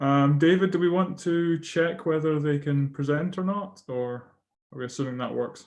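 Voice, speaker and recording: Someone with a Scottish accent speaks at a moderate pace. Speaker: session chair at academic conference. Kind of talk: moderating an online conference session. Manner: hesitant, many fillers.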